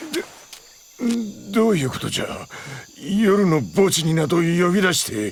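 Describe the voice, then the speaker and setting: Putting on a gruff character voice, a man speaks high in pitch at a moderate pace, with lively intonation and long, frequent pauses. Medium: audio drama. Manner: old-man speech, gruff.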